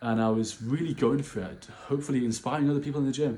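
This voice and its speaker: A man with a British accent speaks at a very fast pace. His tone is dark and mellow, with ordinary pitch variation. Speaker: vlogger. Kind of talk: casual monologue. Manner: animated.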